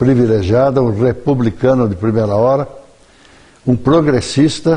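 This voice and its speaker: A man speaks fairly slowly at medium pitch, with ordinary pitch variation. His tone is dark and mellow, and somewhat breathy. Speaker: journalist and writer. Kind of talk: TV interview.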